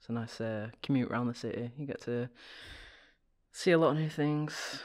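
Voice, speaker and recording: In a British accent, a man talks at a moderate pace and medium pitch with ordinary pitch variation and big swings in loudness on a very clean recording with a silent background. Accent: British, sounds posh to Americans. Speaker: planetary scientist. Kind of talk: casual chat.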